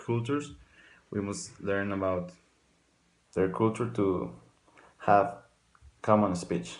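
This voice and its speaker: A man with a non-native accent and a fairly low voice speaks amid audible room echo. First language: not English. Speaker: student. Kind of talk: class presentation.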